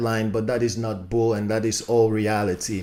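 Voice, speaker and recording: A man with a non-native accent speaks in an animated tone. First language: not English. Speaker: YouTube commentator. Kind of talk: casual commentary video. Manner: halting, many fillers.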